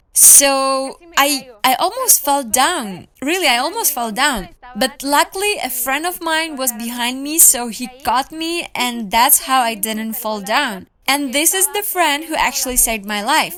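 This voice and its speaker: Speaking at a fairly slow pace with a Ukrainian accent, the voice is raised and projected, with lively intonation and noticeable background noise. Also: woman, high pitch for a woman, hardly any pauses. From Ukraine, Ivano-Frankivsk. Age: 20s. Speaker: language learner and traveler. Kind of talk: interview.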